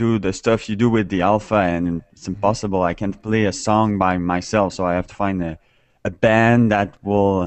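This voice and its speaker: Speaking at a moderate pace with a Quebec French accent, a man uses a fairly low pitch and a monotone, flat intonation, while his loudness swings widely. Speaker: musician, new instrument owner. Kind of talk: casual group video chat. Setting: video call. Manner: halting, hesitant.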